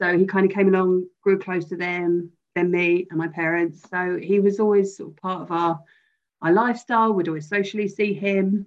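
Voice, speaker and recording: A woman with a British accent, medium in pitch, flat and monotone, at a moderate pace. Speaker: bereaved friend. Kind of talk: testimony. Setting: video call.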